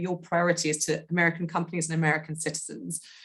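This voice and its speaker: A woman with a British accent talks at a very fast pace, her fairly low voice somewhat breathy. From Britain. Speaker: audience member asking question. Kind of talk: question in webinar.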